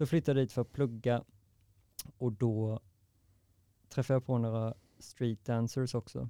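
Long, frequent pauses break up speech at a moderate pace, delivered in a dark, mellow tone with monotone, flat intonation and a dry, close sound with no echo. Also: man, medium pitch for a man. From Sweden, Varberg. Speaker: poet and dancer. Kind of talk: casual interview.

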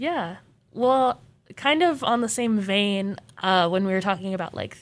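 A woman with a plain, everyday voice, medium pitch and ordinary pitch variation, on a very clean recording with a silent background. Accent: American. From Arizona (Mesa). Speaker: student podcast co-host. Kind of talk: casual chat.

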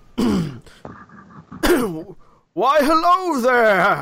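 A man puts on a character voice. His pitch is extremely high. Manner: grand, welcoming.

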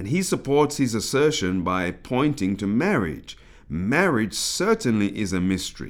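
A man with a British accent speaks at a moderate pace and medium pitch, with very wide pitch swings. The recording is very clean, with a silent background. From British of African Caribbean heritage. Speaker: pastor and author. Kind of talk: reading aloud.

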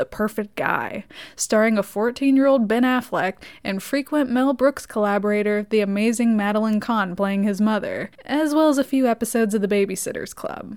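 In a plain, everyday voice, a woman with a fairly high pitch talks at a moderate pace with ordinary pitch variation. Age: 20s. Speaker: podcast host and film reviewer. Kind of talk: solo film review podcast. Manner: casual, sarcastic.

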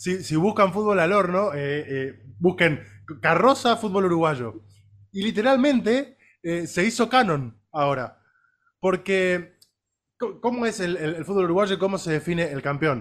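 A man with a Rioplatense accent, high-pitched for a man, with lively intonation at a fairly slow pace, on a very clean recording with a silent background. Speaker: sports podcast co-host. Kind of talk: casual chat.

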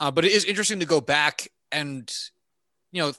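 A man speaks loudly in a high voice with lively intonation and a bright, sharp tone, recorded dry and close with no echo. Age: 20s. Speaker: movie podcast co-host. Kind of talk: casual chat.

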